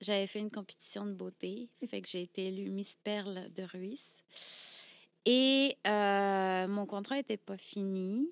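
Speaking very slowly, a woman keeps her intonation fairly even. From France, Brittany. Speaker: burlesque performer; podcast guest. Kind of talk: casual interview. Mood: reflective storytelling. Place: studio. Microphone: studio mic.

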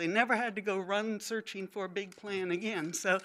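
Fairly even intonation marks a woman's plain, everyday voice. She talks at a fairly slow pace. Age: 60s. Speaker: retiring GIS employee. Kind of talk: speech. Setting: public meeting. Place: hall. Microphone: podium.

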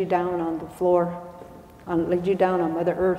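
There is audible room echo. A woman talks at a moderate pace. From Arizona, Hopi-Tewa and Havasupai; Arizona. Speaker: spiritual elder; speaker. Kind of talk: public talk. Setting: stage with audience. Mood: calm, reflective, slow. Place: church. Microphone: lapel.

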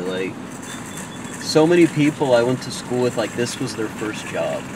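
At a moderate pace, the voice comes through dry with no echo, over noticeable background noise. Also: man. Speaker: vlogger. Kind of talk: casual vlog chat. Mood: nostalgic, a bit sad. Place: car.

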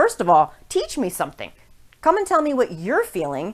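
At a very fast pace, a woman gets her words out. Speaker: fitness instructor. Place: home room.

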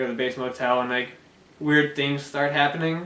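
The intonation stays fairly even. There is audible room echo. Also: man. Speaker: amateur film reviewer. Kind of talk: casual review chat. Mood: relaxed, lightly amused. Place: home room. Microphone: camera far.

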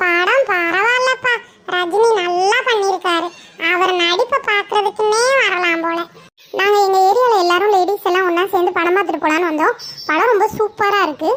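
In a cartoonish character voice, a woman speaks at a moderate pace with extremely high pitch and very even loudness. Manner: chatty, warm.

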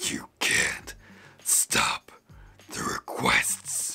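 This put-on character voice sounds raspy and gravelly.

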